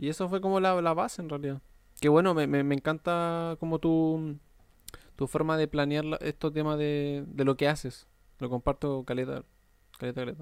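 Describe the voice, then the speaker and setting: Recorded very cleanly against a silent background, a man talks at a moderate pace and fairly high pitch with fairly even intonation. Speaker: podcast host interviewing athletes. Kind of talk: casual interview chat.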